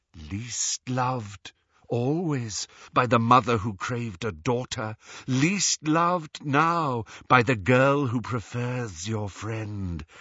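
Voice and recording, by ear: A man whispers slowly in a put-on character voice. Hissing runs through his speech. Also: few pauses.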